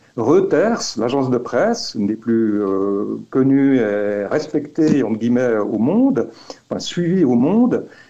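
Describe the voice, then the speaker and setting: Very slow and lively in intonation, a man speaks at a medium pitch. His tone is dark and mellow. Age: 60s. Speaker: activist filing a legal complaint. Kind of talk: interview. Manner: halting, many fillers and repetitions.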